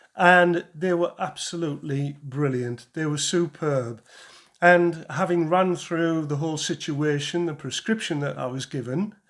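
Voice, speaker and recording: A man with a British accent, fairly high-pitched, ordinary pitch variation, a fairly slow pace, on a very clean recording with a silent background. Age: 60s. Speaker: charity cyclist fundraiser. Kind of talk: interview.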